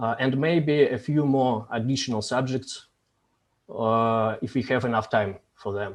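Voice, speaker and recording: A man in a Russian accent, medium pitch, ordinary pitch variation. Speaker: discussion host, philosophy community facilitator. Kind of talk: interview, reading prepared questions. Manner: halting, frequent hesitations.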